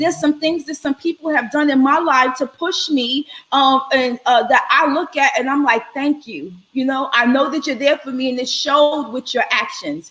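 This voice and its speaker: Loud speech moves at a moderate pace with hardly any pauses and ordinary pitch variation, over noticeable background noise. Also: woman, high pitch for a woman. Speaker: live show host. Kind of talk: live stream chat with guests. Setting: online live stream. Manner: animated.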